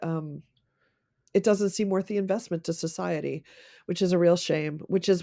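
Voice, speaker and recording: A woman with an American accent has an unremarkable speaking voice, fairly low in pitch with fairly even intonation. The recording is very clean, with a silent background. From United States. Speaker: coworking space founder. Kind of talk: podcast interview.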